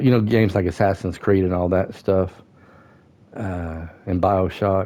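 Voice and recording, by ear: The tone is dark and mellow. Delivery comes at a fairly slow pace with fairly even intonation. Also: man, low pitch for a man.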